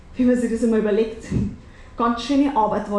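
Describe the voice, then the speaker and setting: With a Bavarian accent and lively intonation, a woman speaks at a high pitch amid noticeable background noise. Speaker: cabaret artist. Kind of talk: cabaret stage performance. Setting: live stage with audience.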